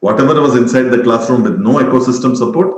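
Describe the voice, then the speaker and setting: The speaker has an Indian accent and lively intonation. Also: man. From India, Mumbai. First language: Tamil. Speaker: education expert. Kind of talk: webinar talk.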